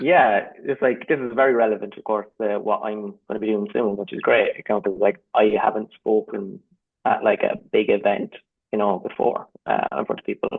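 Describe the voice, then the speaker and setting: With an Irish accent, a man speaks at a moderate pace. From Ireland. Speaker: creative professional, community member. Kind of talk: casual chat. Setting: video call.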